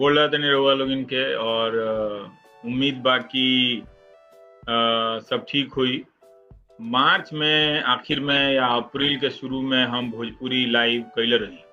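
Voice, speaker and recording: Music plays behind a voice whose intonation stays fairly even. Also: man, medium pitch for a man. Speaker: TV news anchor. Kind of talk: live talk to viewers.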